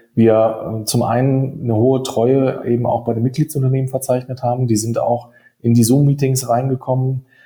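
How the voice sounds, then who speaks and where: A man talks at a moderate pace with fairly even intonation. His tone is dark and mellow, and somewhat breathy. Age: 30s. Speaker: insurtech hub managing director. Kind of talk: podcast interview. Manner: fluent, articulate.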